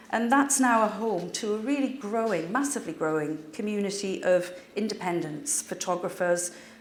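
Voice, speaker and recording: A woman with a North East English accent, medium pitch and lively intonation, at a moderate pace with audible room echo. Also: hardly any pauses. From North East England (former mining village). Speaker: cultural sector adviser. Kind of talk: public talk.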